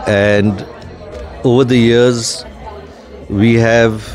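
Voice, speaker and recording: A man's voice over music in the background, recorded dry with no echo. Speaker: guest. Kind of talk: interview answer. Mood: proud, warm. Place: hall. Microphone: handheld.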